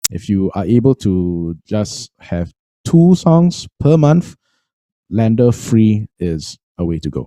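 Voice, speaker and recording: A man with a Singaporean accent speaks at a very slow pace with fairly low pitch and a dark, mellow tone. His pitch swings very widely, and the sound is dry and close with no echo. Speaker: music trainer. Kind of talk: webinar tutorial. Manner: halting, many fillers.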